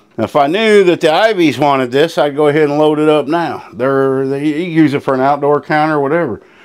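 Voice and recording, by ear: A man with a fairly high pitch talks at a fairly quick pace in a clear, smooth, slightly mellow tone with ordinary pitch variation.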